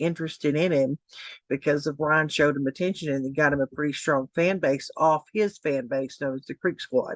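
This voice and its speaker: In a Tennessee accent, the speaker goes at a fairly quick pace with fairly even intonation, the sound dry and close with no echo over a quiet background. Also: woman. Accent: Southern US (Tennessee). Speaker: commentary YouTuber. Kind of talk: casual commentary vlog. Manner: hesitant, many fillers.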